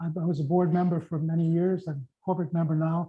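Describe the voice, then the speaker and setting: Dark, mellow tone from a man at a moderate pace. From northern Ontario First Nations community. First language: Oji-Cree or other First Nations language. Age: 70s. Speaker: pastor. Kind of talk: talk to audience. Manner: halting, repeats words.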